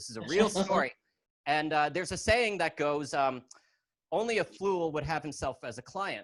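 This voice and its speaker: With a normal speaking voice, a man talks at a moderate pace in a fairly high pitch, his intonation lively. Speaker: stand-up comedian and lawyer. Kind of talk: stand-up comedy set. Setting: video call.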